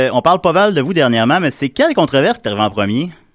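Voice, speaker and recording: A man talks very fast at a fairly high pitch, his voice swinging very widely up and down, in a very clean recording with a silent background. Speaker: community radio host. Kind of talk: casual chat. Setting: studio.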